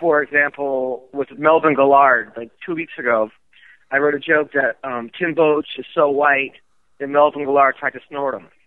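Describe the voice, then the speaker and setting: A man's normal speaking voice, fairly high in pitch, at a moderate pace, with fairly even intonation and big swings in loudness. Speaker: comedian. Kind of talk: casual interview chat.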